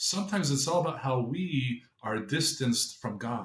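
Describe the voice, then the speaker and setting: Somewhat breathy, the man speaks with lively intonation. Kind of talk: short gospel reflection podcast.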